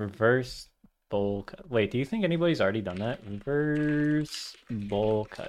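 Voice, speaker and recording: At a fairly slow pace, a man uses a plain, everyday voice at medium pitch, with lively intonation and big swings in loudness. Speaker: podcast host. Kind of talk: casual chat.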